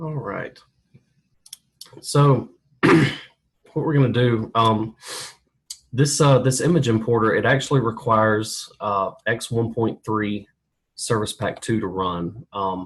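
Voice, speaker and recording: A somewhat breathy man at medium pitch, ordinary pitch variation, a very slow pace, and long, frequent pauses. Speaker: software trainer. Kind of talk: webinar tutorial. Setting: online webinar with screen share. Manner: hesitant, many fillers.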